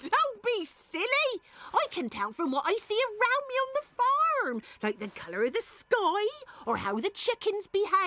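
This is a cartoonish character voice at an extremely high pitch. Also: moderate pace. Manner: warm, folksy, matter-of-fact.

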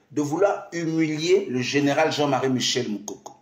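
An animated tone from a man, with audible room echo and a quiet background. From Congo-Brazzaville. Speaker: pastor and diaspora live streamer; pastor, diaspora live streamer. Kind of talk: improvised political live stream monologue. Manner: animated, repetitive exhortations. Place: office. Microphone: phone near.

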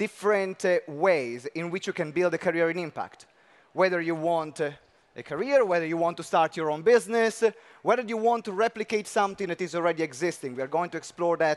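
This man talks at a fairly quick pace. His pitch shows ordinary variation. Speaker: session host. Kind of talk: event hosting address. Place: stage. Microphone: headset.

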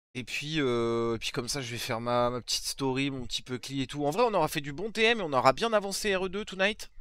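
A man speaks at a fairly quick pace and a fairly high pitch, with very wide pitch swings and hardly any pauses. The sound is dry, with no echo. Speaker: streamer. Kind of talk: live stream reaction chat. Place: home room. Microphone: headset.

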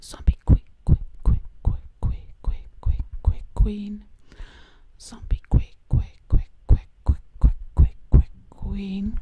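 A woman whispers in a breathy, put-on character voice. She goes at a very slow pace with long, frequent pauses. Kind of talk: ASMR role play. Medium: role play. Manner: whispered, breathy; sassy.

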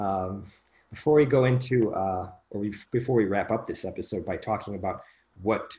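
Somewhat breathy and dark, mellow in tone, a man speaks at a moderate pace with a fairly low pitch. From US Midwest, Chicago suburbs. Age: 30s. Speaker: podcast host, mind coach. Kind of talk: casual chat. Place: home room. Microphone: video call.

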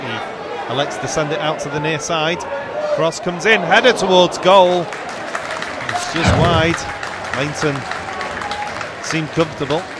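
With a British accent, a man speaks in a fairly high voice at a fairly slow pace, his pitch varying in an ordinary way. The sound is dry with no echo, and crowd noise carries in the background. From Britain. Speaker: football commentator. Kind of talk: commentary. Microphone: headset.

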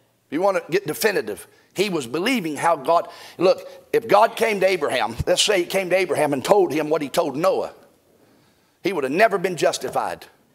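The man's speech, lively in intonation and fairly quick in pace, sits over a quiet background. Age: 50s. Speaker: pastor. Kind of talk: sermon. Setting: church. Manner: animated. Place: church. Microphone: lapel.

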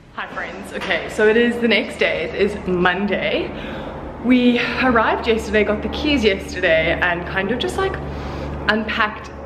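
Noticeable background noise sits under a woman's voice. She keeps a moderate pace with ordinary pitch variation. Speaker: vlogger. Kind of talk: casual vlog chat. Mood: a little stressed, self-conscious. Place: empty room. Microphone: phone near.

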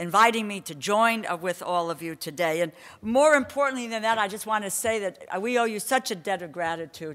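A woman talks at a fairly quick pace with hardly any pauses. Her loudness swings widely over a quiet background. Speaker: conference speaker. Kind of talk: speech. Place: hall. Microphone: podium.

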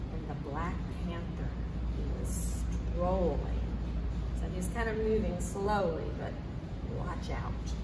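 A woman speaks at a very slow pace. There is loud background noise. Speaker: library storyteller. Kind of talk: children's story reading. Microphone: camera far.

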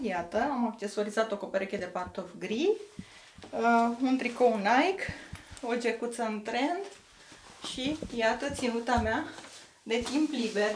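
A woman speaks at a fairly high pitch and a very slow pace, with ordinary pitch variation. Noticeable background noise runs under her voice. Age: 40s. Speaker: fashion vlogger. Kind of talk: fashion haul vlog. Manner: enthusiastic. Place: home room. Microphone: camera far.

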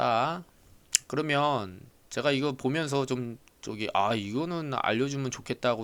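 The recording is very clean, with a silent background. A man speaks very slowly at a medium pitch. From Jeolla province, South Korea. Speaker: insurance claims adjuster. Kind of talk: casual lecture. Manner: chatty, filler-heavy.

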